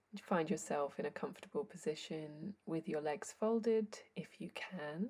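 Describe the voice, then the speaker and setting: Somewhat breathy, the voice has a dark, mellow tone and a calm tone. It moves at a fairly slow pace with ordinary pitch variation. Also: woman. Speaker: yoga teacher. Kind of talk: guided yoga class instruction. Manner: slow, calm.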